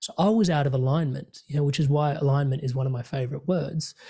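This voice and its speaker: In a very clean recording with a silent background, a man with an Australian accent and a fairly high pitch speaks at a fairly quick pace in a dark, mellow, somewhat breathy tone. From Indian heritage, immigrant family. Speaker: career coach and podcast host. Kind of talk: casual interview chat. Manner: animated.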